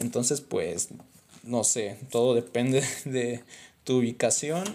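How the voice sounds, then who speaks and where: Medium-pitched male voice, dark and mellow, with fairly even intonation. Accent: Mexican. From Mexico. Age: 20s. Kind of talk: book review monologue. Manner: casual, conversational.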